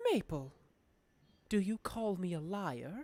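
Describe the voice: A woman speaks in a put-on character voice at a medium pitch and a fairly slow pace.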